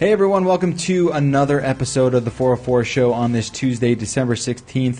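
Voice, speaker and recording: An ordinary speaking voice from a man at medium pitch, fairly quick in pace with hardly any pauses, ordinary pitch variation and very even loudness. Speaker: podcast host. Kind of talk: casual chat. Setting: studio. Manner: joking banter.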